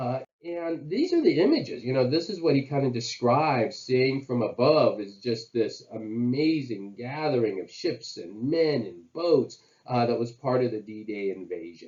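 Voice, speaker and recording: Speaking in an ordinary speaking voice, a man at medium pitch uses lively intonation and hardly any pauses. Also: moderate pace. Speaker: college history teacher. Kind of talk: history lecture to camera. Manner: casual, conversational with fillers.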